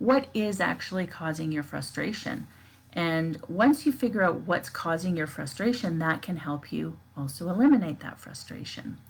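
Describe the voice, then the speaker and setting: Her voice is fairly low and shows vocal fry. The woman's intonation is lively. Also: moderate pace. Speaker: life coach. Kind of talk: live stream talk. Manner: casual with fillers.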